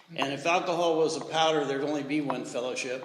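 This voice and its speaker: A man speaks at a fairly high pitch. Audible room echo and noticeable background noise surround him. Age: 70s. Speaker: recovery speaker at men's retreat. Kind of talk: testimony.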